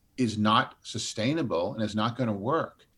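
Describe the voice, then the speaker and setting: Lively intonation and a moderate pace from a man with a plain, everyday voice. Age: 60s. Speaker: advocacy group chair, retired finance executive. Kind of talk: interview.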